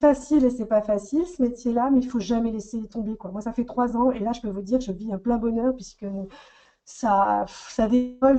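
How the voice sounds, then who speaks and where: A woman's ordinary speaking voice, fairly high-pitched and at a fairly quick pace. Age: 40s. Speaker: makeup artist. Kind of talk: testimony.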